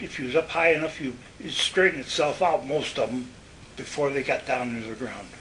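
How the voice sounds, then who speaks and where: Over noticeable background noise, a man with an American accent talks fairly quickly at a fairly high pitch with ordinary pitch variation. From Western New York. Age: 90s. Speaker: war veteran. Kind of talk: oral history interview. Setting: nursing home. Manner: halting.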